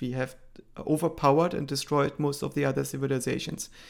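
The speaker has a German accent, captured on a very clean recording with a silent background. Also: man. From East Germany. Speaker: AI researcher. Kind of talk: interview.

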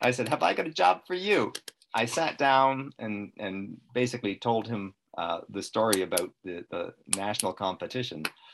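With an ordinary speaking voice, a man at medium pitch talks at a moderate pace with lively intonation. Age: 60s. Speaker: retired electronics repairman, lung cancer patient. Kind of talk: interview. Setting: video call.

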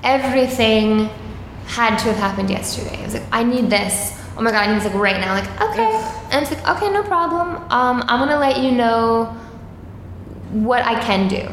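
An American accent at a moderate pace, with ordinary pitch variation and noticeable background noise. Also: woman, fairly high pitch for a woman. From Long Island, New York (Suffolk County). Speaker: comedian. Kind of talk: casual chat. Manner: mellow.

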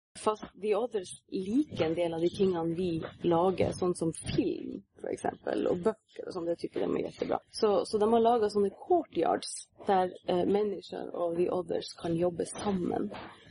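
Speaking with hardly any pauses, a woman keeps to a fairly slow pace. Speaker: fantasy author. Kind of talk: interview. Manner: halting.

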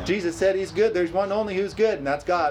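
A man's high-pitched voice over noticeable background noise. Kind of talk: sermon, preacher in full flow with a live congregation answering. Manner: animated, rousing, with call-and-response "amen?" and bursts of laughter; repetitive, hammering key phrases for emphasis.

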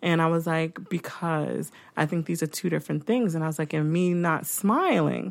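A woman's normal speaking voice, fairly low in pitch, with fairly even intonation, moderate pace and very even loudness, on a very clean recording with a silent background. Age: 40s. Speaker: podcast host. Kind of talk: casual chat. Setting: studio.

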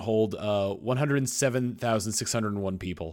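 Lively in intonation and fairly quick in pace, a man of medium pitch comes through on a very clean recording with a silent background. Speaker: podcast co-host. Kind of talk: casual chat. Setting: studio. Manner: halting.

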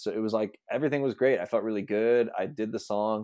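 An unremarkable speaking voice belongs to a man with a fairly low pitch. The background is quiet. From Pittsburgh area, western Pennsylvania. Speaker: comedian. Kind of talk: casual chat.

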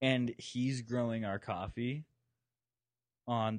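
A man's intonation stays fairly even as he talks at a fairly slow pace. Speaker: junior coffee roaster and barista. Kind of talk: casual chat. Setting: hotel room, recording while traveling.

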